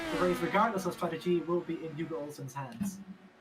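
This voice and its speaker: Backed by music, a woman talks at a very fast pace. Her pitch is fairly low, with ordinary pitch variation. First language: not English. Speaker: sim racing co-commentator. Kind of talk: live commentary.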